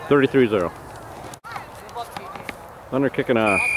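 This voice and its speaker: A man speaks with ordinary pitch variation in a dry sound with no echo, with noticeable background noise. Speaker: sideline parent filming youth football. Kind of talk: informal play-by-play commentary. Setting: outdoors at a football field. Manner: animated. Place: stadium.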